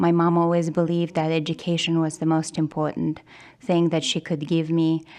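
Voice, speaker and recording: A woman's fairly low voice with a Russian accent. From Kazakhstan. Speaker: journalist, nonprofit news director. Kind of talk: interview.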